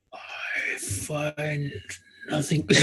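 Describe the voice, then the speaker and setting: A man in a put-on character voice, fairly high in pitch. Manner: amused, suppressing laughter.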